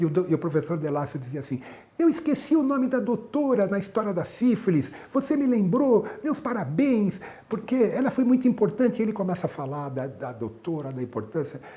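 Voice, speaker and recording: This man has a high pitch and a dark, mellow tone, moving at a fairly quick pace with very wide pitch swings. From Brazil, São Paulo. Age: 60s. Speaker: cardiologist and medical professor. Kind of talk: interview, personal recollection. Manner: halting, with repetitions.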